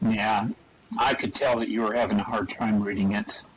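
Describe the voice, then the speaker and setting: A raspy, put-on character voice from a man, medium in pitch, at a moderate pace. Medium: machinima. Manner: warm, jovial.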